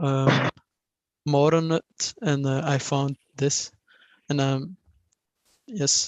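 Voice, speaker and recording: The speaker talks at a very slow pace with a non-native accent. Long pauses come often. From Belgium. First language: not English. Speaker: engineering student. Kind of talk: self-introduction in a meeting. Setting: video call. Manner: halting, many fillers.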